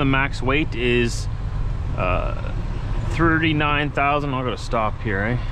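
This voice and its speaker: Amid noticeable background noise but with a dry sound and no echo, a man speaks at a very slow pace with ordinary pitch variation and long, frequent pauses. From Manitoba, Canada. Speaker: truck driver vlogger. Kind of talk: casual vlog narration. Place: car. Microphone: phone near.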